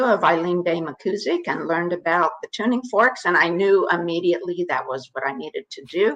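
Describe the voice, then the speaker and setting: A woman with a fairly low pitch at a moderate pace, with hardly any pauses. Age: 60s. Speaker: biofield tuner and author. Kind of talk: interview conversation. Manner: halting, with many fillers and restarts.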